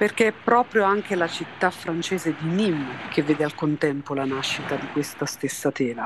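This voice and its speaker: A woman speaks at a moderate pace with hardly any pauses, her voice very deep and low with lively intonation. Noticeable background noise sits behind her. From southern Italy, Naples area. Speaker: textile chemist and company founder. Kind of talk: scripted narration.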